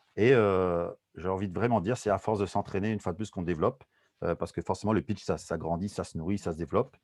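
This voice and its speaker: In a dry, close sound with no echo, a man talks at a very fast pace with a very deep, low pitch and ordinary pitch variation. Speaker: soft skills trainer. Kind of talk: webinar presentation. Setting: video call. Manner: mumbling.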